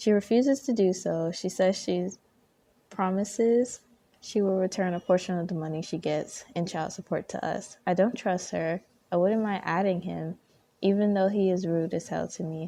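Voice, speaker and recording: Soft-spoken and calm, a woman at a medium pitch talks at a moderate pace with ordinary pitch variation and a dark, mellow tone against a quiet background. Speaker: ASMR content creator. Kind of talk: ASMR Reddit story reading. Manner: soft-spoken, calm.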